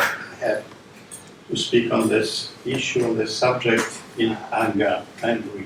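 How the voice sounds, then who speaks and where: A man speaks at a fairly slow pace, with noticeable background noise and audible room echo. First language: French. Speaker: philosophy professor, lecturer. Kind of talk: lecture, reading a paper. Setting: institute lecture room with online audience.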